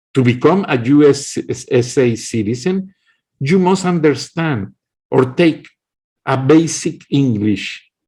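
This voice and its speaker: Very slow speech with long, frequent pauses comes in a dark, mellow, somewhat breathy tone with lively intonation. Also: man, fairly high pitch for a man. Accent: strong Mexican. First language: Kickapoo, then Spanish. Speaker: political commentator. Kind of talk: political monologue. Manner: impassioned.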